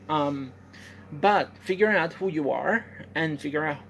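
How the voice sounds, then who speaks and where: A woman with a Puerto Rican accent speaks in a very deep, low voice. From Puerto Rico. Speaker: professional wrestler. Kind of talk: personal testimony. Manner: halting, many fillers.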